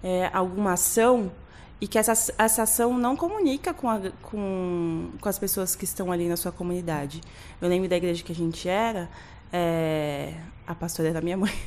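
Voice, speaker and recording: Using a normal speaking voice, a woman talks at medium pitch and a moderate pace with ordinary pitch variation. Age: 30s. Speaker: graphic designer. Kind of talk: casual chat.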